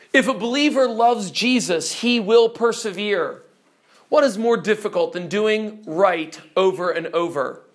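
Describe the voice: Here, someone does plain reading aloud.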